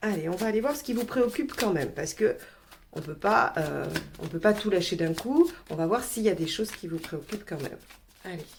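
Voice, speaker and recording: The woman's intonation is lively, with noticeable background noise behind her. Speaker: tarot reader. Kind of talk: tarot reading video. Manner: hesitant, many fillers.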